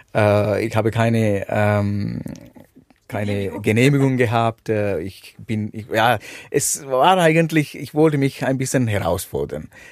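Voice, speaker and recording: With a Sri Lankan accent, a man speaks at a medium pitch and a very slow pace, with lively intonation. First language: Sinhala (speaking German). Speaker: motorcycle adventurer. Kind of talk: interview. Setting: caravan at a campsite. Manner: halting.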